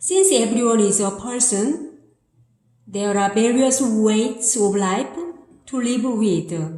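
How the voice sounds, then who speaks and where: A woman with a Korean accent speaks very slowly at a fairly high pitch, her intonation lively, with audible echo from the room. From South Korea. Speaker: amateur writer. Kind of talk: reading aloud of own essay. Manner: halting.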